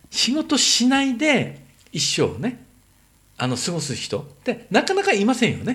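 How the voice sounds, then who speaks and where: A man's voice at an extremely high pitch, with very wide pitch swings. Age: 50s. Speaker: entrepreneur. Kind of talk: casual chat.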